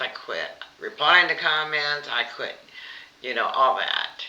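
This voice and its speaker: A woman with a very deep, low pitch talks at a fairly slow pace in fairly even intonation over noticeable background noise. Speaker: cooking vlogger. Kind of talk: casual chat. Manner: halting.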